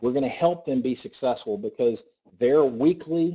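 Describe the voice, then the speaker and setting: This man has a dark, mellow tone and speaks with a Southern US accent. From US South. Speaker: network marketing presenter. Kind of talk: sales pitch. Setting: conference call. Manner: fast; animated.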